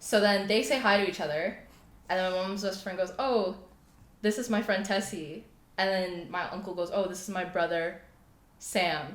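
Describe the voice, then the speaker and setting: A woman speaks at a medium pitch and a moderate pace, with fairly even intonation. Her long, frequent pauses are met by audible room echo. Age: 20s. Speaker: clothing brand founder. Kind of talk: casual interview chat.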